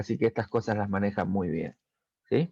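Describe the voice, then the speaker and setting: Over a quiet background, a man speaks with an Argentine accent. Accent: Argentine Spanish (Rioplatense). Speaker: technical school teacher. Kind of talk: recorded lesson for students. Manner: hesitant with fillers.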